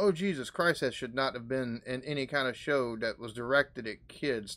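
The speaker moves at a moderate pace with ordinary pitch variation. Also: man. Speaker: reaction video host. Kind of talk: casual reaction commentary. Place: home room. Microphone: webcam.

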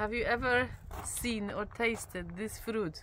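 A woman is speaking over noticeable background noise. The sound is dry, with no echo. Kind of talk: casual vlog chat. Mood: curious, cheerful. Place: open country.

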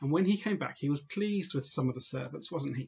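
A man speaks with ordinary pitch variation. His voice is somewhat breathy. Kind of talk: children's talk or homily. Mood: warm, friendly. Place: home room. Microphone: webcam.

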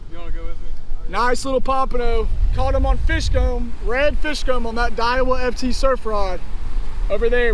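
Over light background noise, a man speaks at a fairly quick pace, the sound dry with no echo. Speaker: fishing vlogger. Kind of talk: casual vlog chat. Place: beach. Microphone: phone near.

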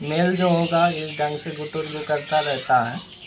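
A man speaks at a fairly slow pace, his pitch fairly high. Background noise is clearly audible. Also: fairly even intonation.

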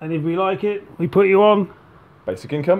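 The speaker is a man with ordinary pitch variation. His pace is moderate. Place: home room. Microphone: phone near.

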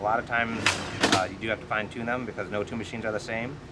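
A man speaks very fast in a flat, monotone way over loud background noise. His pitch sits fairly low. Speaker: powersports clutch technician. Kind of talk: casual interview. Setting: outdoors at a racing facility. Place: open country.

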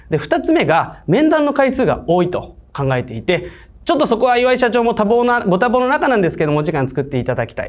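A man's pitch swings very widely as he talks at a fairly quick clip. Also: quiet background. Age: 20s. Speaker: online tutoring school head. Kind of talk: sales pitch. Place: studio.

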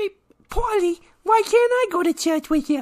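An extremely high, cartoonish character voice moves along at a moderate pace. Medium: puppet show. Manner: naive, innocent.

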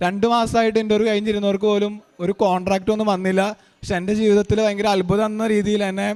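Monotone and flat, a man speaks in a high pitch. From Kerala, Ernakulam district (Angamaly). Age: 20s. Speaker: churchgoer giving testimony. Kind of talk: testimony.

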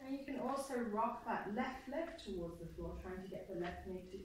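A woman's pitch swings very widely, and she speaks with hardly any pauses. The room echo is strong, with light background noise. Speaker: yoga teacher. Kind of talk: guided yoga class with meditation and visualization. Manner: calm, slow, soothing, instructive; gentle and unhurried, with pauses. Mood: calm, soothing, slow. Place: hall.

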